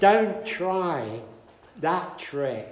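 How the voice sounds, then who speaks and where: With an English accent, a man speaks at a high pitch in very wide pitch swings, amid audible room echo and noticeable background noise. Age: 70s. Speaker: speaker on spiritual teachers. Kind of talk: talk to an audience, conversational. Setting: hall with audience. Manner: animated.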